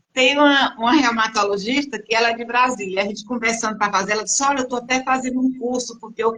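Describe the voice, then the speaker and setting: Talking at a very fast clip with hardly any pauses, a woman uses a fairly high pitch and fairly even intonation over noticeable background noise. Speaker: patient group host. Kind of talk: live stream interview. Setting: online live stream. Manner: relaxed.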